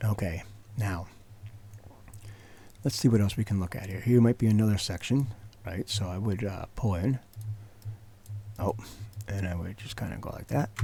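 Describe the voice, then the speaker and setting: This man's voice is fairly low, dark and mellow, and somewhat breathy, moving at a moderate pace with ordinary pitch variation and long, frequent pauses. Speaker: tech tutorial youtuber. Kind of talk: screen-recorded software tutorial. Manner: quieter than usual, trying not to wake child; hesitant with many fillers.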